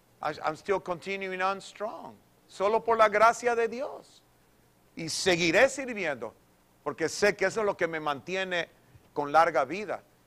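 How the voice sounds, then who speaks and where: The tone is bright and sharp, with lively intonation. The pace is fairly slow. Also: man, high pitch for a man. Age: 60s. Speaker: pastor. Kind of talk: sermon. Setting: church. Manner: animated; repetitive code-switching. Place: church.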